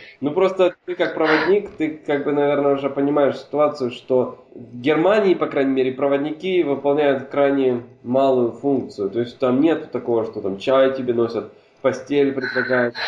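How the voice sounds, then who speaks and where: Noticeable background noise sits behind a voice that moves at a moderate pace with ordinary pitch variation. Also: man, fairly high pitch for a man. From Hungary. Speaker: podcast guest, film enthusiast. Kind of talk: casual chat.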